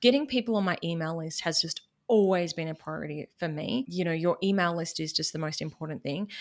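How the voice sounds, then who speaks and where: The speaker talks at a fairly quick pace in a Queensland accent, with ordinary pitch variation. The recording is very clean, with a silent background. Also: woman, fairly low pitch for a woman. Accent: Queensland Australian. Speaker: business podcaster and money mentor. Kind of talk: casual interview chat.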